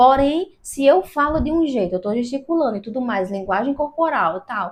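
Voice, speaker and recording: This woman talks in an animated tone with lively intonation. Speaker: YouTuber giving video tips. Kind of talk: tutorial. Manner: talkative, animated.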